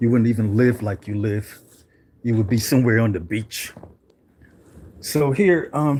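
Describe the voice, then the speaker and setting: Somewhat breathy man at medium pitch and a moderate pace, ordinary pitch variation, long, frequent pauses. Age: 70s. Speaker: channel host, activist. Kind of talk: livestream monologue. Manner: casual, rambling with fillers.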